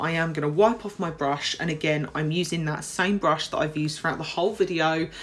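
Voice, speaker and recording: Music plays in the background as a woman speaks with a British accent. Her voice is fairly low, with ordinary pitch variation. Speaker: nail technician and tutorial youtuber. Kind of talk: tutorial voiceover. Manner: casual, slightly halting.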